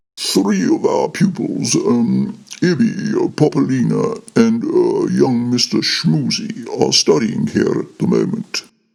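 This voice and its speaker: Speaking fairly slowly, a man performs in a put-on character voice. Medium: read story. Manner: authoritative.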